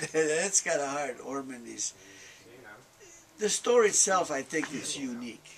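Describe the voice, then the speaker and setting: Over noticeable background noise, a man speaks at a fairly high pitch and fairly slow pace, with long, frequent pauses. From Hungary. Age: 70s. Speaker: train shop owner. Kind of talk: interview. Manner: halting.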